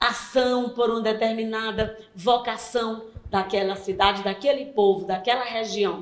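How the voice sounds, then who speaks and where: Noticeable background noise and room echo both come through as a woman speaks. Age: 60s. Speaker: cultural association president. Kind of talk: interview.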